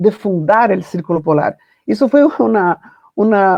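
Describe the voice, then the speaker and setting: This woman speaks with a Portuguese accent. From Brazil. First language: Portuguese (speaking Spanish). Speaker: foundation founder and literature professor. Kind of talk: panel talk, personal testimony.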